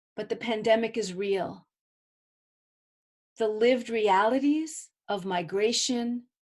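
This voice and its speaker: Speaking in a New York accent, a woman goes at a fairly slow pace with ordinary pitch variation and long, frequent pauses. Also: fairly high pitch for a woman. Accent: New York American. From US, Brooklyn, New York. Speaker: artist and filmmaker. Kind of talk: artist talk. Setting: video call with live interpreter.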